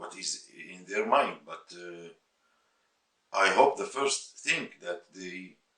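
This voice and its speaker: A man with a Syrian accent speaks at a fairly slow pace. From Syria, Aleppo. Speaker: musician. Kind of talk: interview testimony. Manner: halting, with repeated words.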